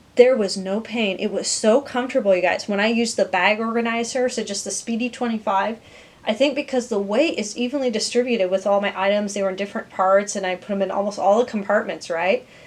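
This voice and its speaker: A woman talks at a fairly high pitch and a very fast pace. Noticeable background noise sits behind her. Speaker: YouTube vlogger. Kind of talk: casual unboxing vlog. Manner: animated.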